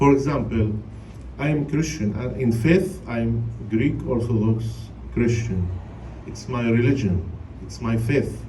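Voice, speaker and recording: A man with a Palestinian accent at medium pitch, lively intonation, fairly slow pace and long, frequent pauses, with audible room echo and noticeable background noise. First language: Arabic. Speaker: priest. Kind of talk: panel talk to a congregation. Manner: halting, many fillers.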